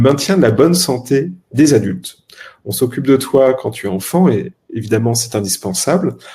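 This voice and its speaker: With lively intonation, a man speaks at a moderate pace in a medium pitch, his tone dark, mellow and somewhat breathy. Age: 30s. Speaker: health tech startup co-founder. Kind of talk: podcast interview.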